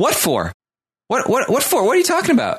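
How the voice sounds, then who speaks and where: Whiny and at an extremely high pitch, a man uses a put-on character voice at a moderate pace. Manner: confused, defensive.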